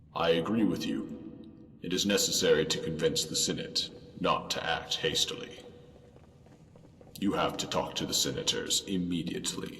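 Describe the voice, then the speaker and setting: Putting on a character voice, a man talks at a moderate pace over clear background noise and clear echo. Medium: machinima. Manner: solemn, formal.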